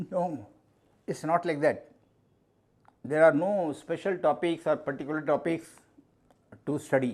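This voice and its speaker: A man speaks with a Pakistani accent. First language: Urdu. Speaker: mathematics teacher. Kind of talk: interview. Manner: halting.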